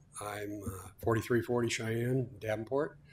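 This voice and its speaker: With an American accent, a man speaks at a moderate pace in a fairly low pitch and a monotone, flat intonation. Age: 70s. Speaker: electrical contractor speaking at public comment. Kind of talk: public comment at school board meeting. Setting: school board meeting. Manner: impassioned.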